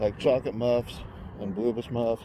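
A man speaks with a dry sound and no echo. Noticeable background noise is present. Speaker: vlogger. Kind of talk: casual vlog chat. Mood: nostalgic, relaxed. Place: street. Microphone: phone near.

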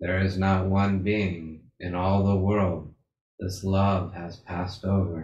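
Against a quiet background, a man with a very deep, low pitch speaks at a very slow pace in a calm, soothing tone, somewhat breathy and monotone with flat intonation, with audible room echo. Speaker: meditation leader. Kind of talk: guided meditation. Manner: slow, calm, soothing. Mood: calm, soft, reverent. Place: home room. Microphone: video call.

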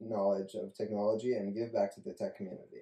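Against a quiet background with audible room echo, a man talks at a very fast pace with ordinary pitch variation. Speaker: college student. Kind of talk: reading aloud. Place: home room. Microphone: camera far.

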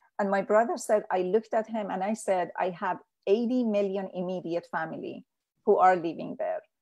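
With a Persian accent, a woman speaks at a moderate pace and medium pitch with ordinary pitch variation against a quiet background. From Iran. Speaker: peace activist. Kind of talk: interview. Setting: video call.

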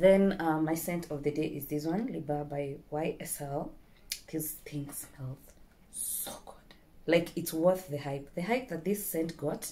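Very slowly, a woman speaks with ordinary pitch variation. Her very deep, low voice has a dark, mellow tone. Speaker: beauty vlogger. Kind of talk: casual vlog chat. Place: home room. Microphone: phone near.

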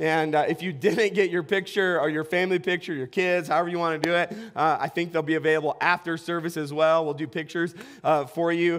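Against a quiet background, a high-pitched man speaks in a flat monotone at a very fast pace. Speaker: pastor. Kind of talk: sermon. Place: church. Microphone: headset.

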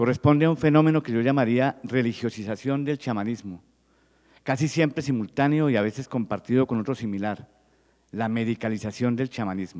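A man talks at a fairly quick pace over a quiet background. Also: ordinary pitch variation. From Colombia. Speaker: physician and researcher; presenter. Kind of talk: reading aloud. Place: hall. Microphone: handheld.

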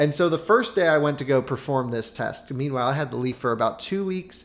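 The speaker is a man. Pitch shifts in his voice are ordinary. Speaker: car reviewer. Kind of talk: commentary. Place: kitchen. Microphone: studio mic.

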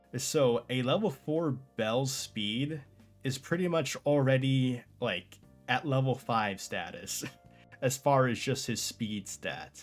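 Faint music plays in the background as a man speaks at a very slow pace. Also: ordinary pitch variation. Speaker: anime reviewer. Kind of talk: casual commentary. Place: home room.

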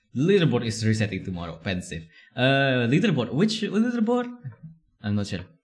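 This man has a medium pitch with very wide pitch swings. His voice is somewhat breathy, and his pace is moderate. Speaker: streamer. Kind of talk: casual live stream chat. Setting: live stream at home. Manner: giggly.

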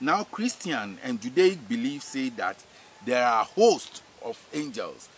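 A man talks at a very slow pace with very wide pitch swings. The sound is dry with no echo, over light background noise. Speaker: spiritual teacher. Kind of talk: religious teaching. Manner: repetitive, hesitant with fillers. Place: farm. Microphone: camera far.

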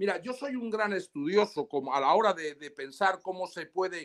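In a quiet background, a man talks at a fairly slow pace. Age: 60s. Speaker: lawyer. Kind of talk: interview. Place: home room. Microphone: video call.

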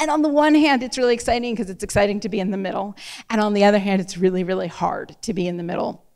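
Loud and very fast, a woman with an American accent speaks at medium pitch with lively intonation over a quiet background. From US Mid-Atlantic. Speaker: novelist. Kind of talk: author talk and moderated Q&A. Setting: stage with audience. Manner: fast talker. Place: hall. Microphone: handheld.

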